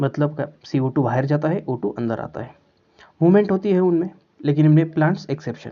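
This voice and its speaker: The speaker is a man with a fairly high voice. He talks at a moderate pace. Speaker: biology teacher. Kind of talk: lecture. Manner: hesitant with filler sounds.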